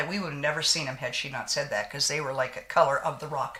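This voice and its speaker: Over noticeable background noise, a woman talks at a very fast pace in an animated tone with ordinary pitch variation. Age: 60s. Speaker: beauty vlogger. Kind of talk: casual chat with makeup tutorial.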